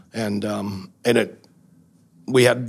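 A man talks with an American accent. His intonation is fairly even. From Wisconsin, US Midwest. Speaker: bar owner, former sheriff's deputy. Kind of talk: testimony.

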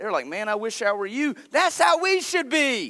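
A man talks at a fairly slow pace in a raised, projected voice, his animated tone sweeping through very wide pitch swings. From North Carolina. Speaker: pastor. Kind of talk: sermon. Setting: church.

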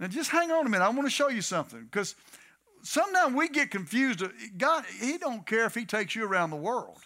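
In a raised, projected voice with an American accent, a man speaks at a very fast pace in a bright, sharp tone, his extremely high pitch making very wide swings. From Texas. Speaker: guest preacher. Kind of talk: sermon. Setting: church.

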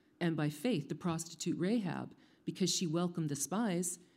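On a very clean recording with a silent background, the delivery keeps a moderate pace. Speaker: scripture reader. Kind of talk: reading aloud. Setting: church.

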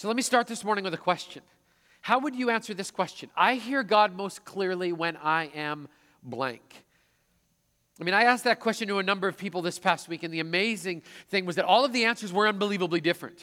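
A man's raised, projected voice in a Canadian accent, high-pitched and bright and sharp in tone, very fast with ordinary pitch variation, on a very clean recording with a silent background. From Manitoba, Canadian prairies. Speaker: pastor. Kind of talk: sermon. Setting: church service with congregation.

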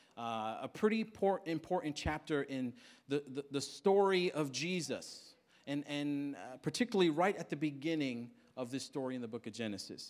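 With an American accent, a man speaks in an ordinary speaking voice, fairly high-pitched, at a moderate pace and with lively intonation, in a very clean recording with a silent background. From Queens, New York. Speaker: pastor. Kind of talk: sermon.

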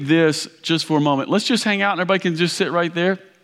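A man with a Kentucky accent talks at a very fast pace. His pitch is high and his intonation lively. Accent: Kentucky Southern US. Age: 40s. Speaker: pastor. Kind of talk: sermon. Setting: church with audience. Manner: loud.

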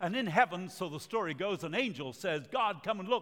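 High-pitched and lively in intonation, a man is speaking. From Uruguay and Argentina. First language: Spanish. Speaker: evangelist. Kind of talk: sermon. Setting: church. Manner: animated.

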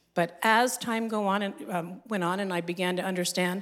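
With an American accent, a woman talks in a plain, everyday voice at medium pitch and moderate pace, with ordinary pitch variation. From United States. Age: 60s. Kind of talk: testimony. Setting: stage with audience.

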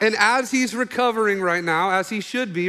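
Raised and projected, a man's bright, sharp voice carries an animated tone in an American accent. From Oklahoma. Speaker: pastor. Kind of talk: sermon. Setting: church.

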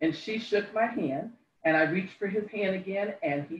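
A woman with a somewhat breathy, medium-pitched voice talks at a fairly quick pace with lively intonation. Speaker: congregation member. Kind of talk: testimony.

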